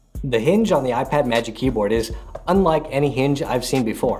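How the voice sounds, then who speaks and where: Moderate-paced speech from a man, faint music playing behind. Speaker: tech reviewer. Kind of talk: product review talk to camera. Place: home room.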